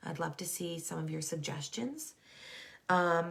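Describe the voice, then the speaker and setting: This woman has a fairly low pitch. Her voice is somewhat breathy. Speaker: school counselor and wellness coach. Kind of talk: live online talk. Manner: casual, filler-heavy.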